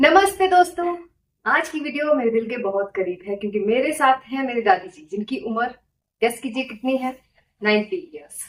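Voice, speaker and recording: A woman speaks in a high pitch with very wide pitch swings. Her loudness also swings widely. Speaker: health and lifestyle coach. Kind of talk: podcast interview host.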